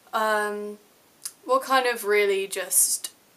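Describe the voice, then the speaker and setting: A medium-pitched woman's voice with an English accent. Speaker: vlogger. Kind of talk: personal vlog. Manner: casual.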